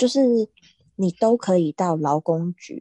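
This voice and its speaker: A woman speaks fairly slowly in a fairly low, dark, mellow voice with lively intonation, and the sound is dry and close with no echo. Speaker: podcast co-host, swimming coach. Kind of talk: casual chat.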